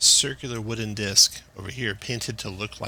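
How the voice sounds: The clip features a natural reading voice whose intonation is fairly even.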